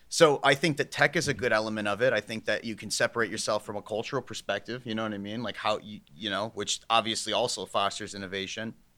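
With a Midwestern American accent and a bright, sharp tone, a man rushes along at a very fast pace with hardly any pauses. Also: medium pitch for a man, ordinary pitch variation, very clean recording, silent background. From northeast Ohio, US. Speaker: solar company executive. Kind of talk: podcast interview.

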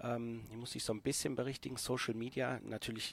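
This man has an ordinary speaking voice. He talks at a medium pitch and a moderate pace. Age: 40s. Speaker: intensive care nurse and first aid trainer. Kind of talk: podcast interview.

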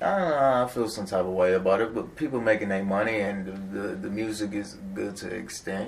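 A man with an American accent talks at a fairly quick pace in a fairly low voice, a normal speaking voice, with ordinary pitch variation. He hardly pauses at all. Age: 20s. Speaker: rapper. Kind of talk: casual interview.

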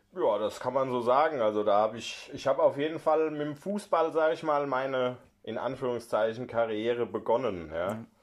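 Here a man has an unremarkable speaking voice at a medium pitch. He keeps a moderate pace. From Hessen, Germany (Heppenheim). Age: 40s. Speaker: newspaper journalist. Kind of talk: casual chat.

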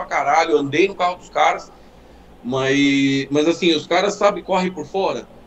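A man speaks at a moderate pace with ordinary pitch variation. Noticeable background noise can be heard. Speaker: car enthusiast. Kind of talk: casual chat. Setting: live stream.

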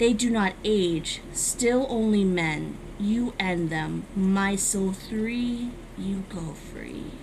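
In a put-on character voice that sounds female, someone speaks at a middle pitch and a very slow pace, with clear background noise behind. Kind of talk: creepypasta reading. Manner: broken, halting speech.

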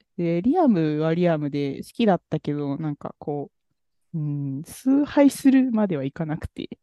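A woman's low-pitched, lively intonation at a moderate pace, with a dry, close sound and no echo

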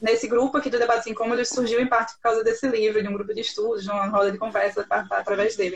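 Fairly high in pitch, a woman talks at a very fast pace. Her intonation stays fairly even. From Recife, northeast Brazil. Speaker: podcast host, journalist. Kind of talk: casual chat.

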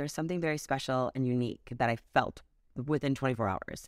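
With an American accent, a woman speaks at a very deep, low pitch with vocal fry and ordinary pitch variation. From Wisconsin. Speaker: spray tan business owner. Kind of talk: casual interview.

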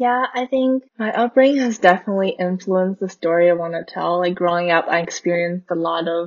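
This woman has an ordinary speaking voice with a fairly low pitch. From Canada, Vancouver. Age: 20s. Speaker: filmmaker and photographer. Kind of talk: casual interview.

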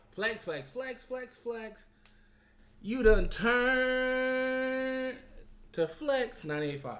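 Extremely high in pitch, a man speaks at a very slow pace with long, frequent pauses. Noticeable background noise runs underneath. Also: ordinary pitch variation. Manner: animated, high-energy and slangy, hyping the show, bantering with guests and laughing.

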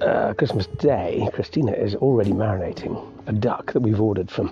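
Behind the voice, music is playing. His pitch sits fairly low for a man, and its variation is ordinary. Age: 50s. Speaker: podcaster. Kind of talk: casual monologue. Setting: outdoors walking dog.

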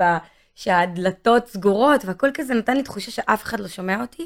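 Her voice is fairly high for a woman, with lively intonation. She speaks at a fairly quick pace in an animated tone. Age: 30s. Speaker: singer-songwriter. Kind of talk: interview.

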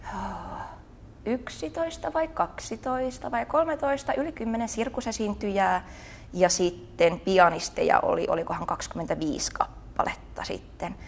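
Talking at a very slow pace, a woman with a fairly high pitch lets her voice swing very widely. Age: 20s. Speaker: pole dance and theatre teacher. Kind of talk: casual interview.

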